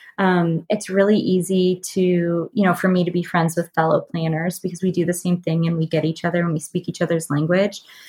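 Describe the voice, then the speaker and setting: With an American accent, a woman speaks at a fairly quick pace and fairly low pitch, her dark, mellow voice somewhat breathy, monotone and flat, with very even loudness and hardly any pauses. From US South, North Carolina. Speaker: event stylist and planner. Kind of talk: casual interview chat. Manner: casual, many filler words.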